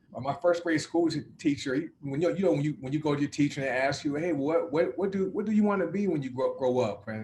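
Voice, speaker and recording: A man's fairly high-pitched voice in a Southern US accent, at a very fast pace. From US South. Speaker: success coach. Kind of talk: interview. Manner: halting.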